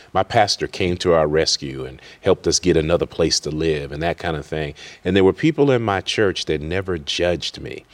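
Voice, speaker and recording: A man with an American accent, a very deep, low pitch and vocal fry, at a fairly quick pace with ordinary pitch variation, on a very clean recording with a silent background. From Worcester, Massachusetts. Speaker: college president and pastor. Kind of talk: interview.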